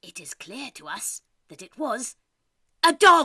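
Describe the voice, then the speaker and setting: In a put-on character voice, the speaker uses a high pitch and a raised, projected delivery at a fairly slow pace. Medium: read story.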